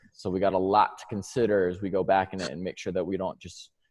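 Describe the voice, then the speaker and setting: Fairly quick speech with a New York accent. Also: man. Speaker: strength and conditioning coach. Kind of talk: presentation.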